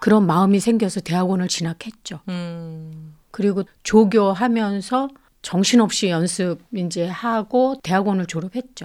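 This woman has a plain, everyday voice at a medium pitch with ordinary pitch variation. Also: fairly slow pace. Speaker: church organist. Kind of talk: interview.

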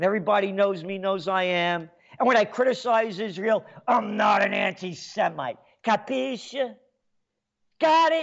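At a high pitch and a moderate pace, a man sounds animated, with lively intonation and long, frequent pauses. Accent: New York. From New York. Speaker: radio host. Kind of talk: talk radio monologue.

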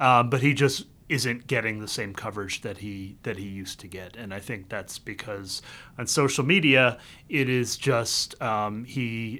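Fairly low and bright, sharp in tone, a man's voice moves at a moderate pace with ordinary pitch variation. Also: very clean recording, silent background. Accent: American. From US South, the Carolinas. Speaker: tech policy communications professional. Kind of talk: casual interview chat. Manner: halting, many fillers.

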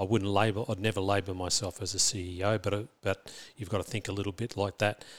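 Over a silent background in a very clean recording, a man with an Australian accent and a fairly low pitch speaks very fast in a flat monotone. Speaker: school principal. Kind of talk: interview. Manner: halting, many fillers and repetitions.

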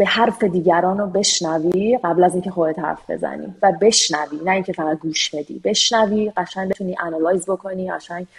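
Her pitch medium and varying in an ordinary way, a woman talks at a moderate pace in a normal speaking voice. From Iran. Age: 40s. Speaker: software engineer. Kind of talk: interview.

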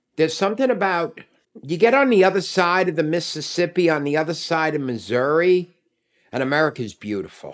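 This man has a high voice and lively intonation, talking at a fairly quick pace. The recording is very clean, with a silent background. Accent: New York. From New York City, Manhattan. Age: 60s. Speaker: Uber driver. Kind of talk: casual chat.

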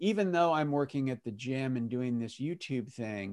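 This man has an unremarkable speaking voice at a medium pitch, with lively intonation. The recording is very clean, with a silent background. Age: 50s. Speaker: retiree and personal trainer. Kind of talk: interview.

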